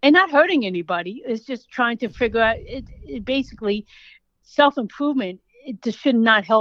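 In an American accent, a woman with a plain, everyday voice speaks at a fairly high pitch, with lively intonation and big swings in loudness, in a dry, close sound with no echo. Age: 40s. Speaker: author, pet sitter and dog trainer. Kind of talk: interview. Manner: fast, run-on.

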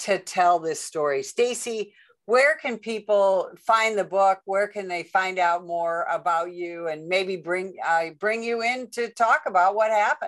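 Against a quiet background, a woman speaks at a fairly slow pace in an ordinary speaking voice, with medium pitch and ordinary pitch variation. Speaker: podcast host, retired police sergeant. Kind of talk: interview.

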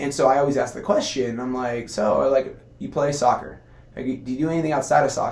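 A man with a Californian accent at a fairly quick pace, his pitch fairly high with ordinary variation, amid audible room echo and noticeable background noise. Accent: Californian American English. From Southern California, Costa Mesa. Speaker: physical therapist and competitive athlete. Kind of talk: casual interview conversation.

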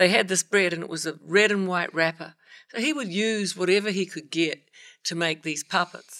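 A woman with a New Zealand accent speaks at a moderate pace and medium pitch. Her tone is bright and sharp, with ordinary pitch variation. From New Zealand (South Island). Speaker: singer-songwriter. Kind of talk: casual chat.

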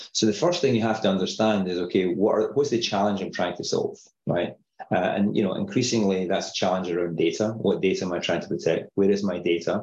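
A man speaks in a Glaswegian accent at a very fast pace. His voice sits fairly low. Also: ordinary pitch variation. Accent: Scottish, Glaswegian-area. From Scotland, Paisley near Glasgow. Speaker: tech company CEO, security expert. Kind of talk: casual interview.

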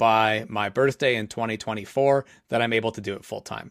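Recorded very cleanly with a silent background and a dry, close sound with no echo, a man speaks at a medium pitch with fairly even intonation. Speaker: entrepreneur and podcaster. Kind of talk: casual interview.

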